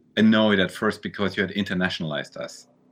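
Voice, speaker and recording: A man with a German accent and a fairly low-pitched voice. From Germany. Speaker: visual artist and novelist. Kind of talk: casual interview. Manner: halting, repeats words.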